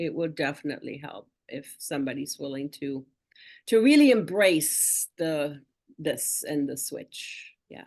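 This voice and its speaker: Against a quiet background, a woman speaks at a fairly slow pace in a very deep, low voice. Her loudness swings widely, and her pitch variation is ordinary. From northern Germany. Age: 60s. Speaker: wellness product customer. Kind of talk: testimony.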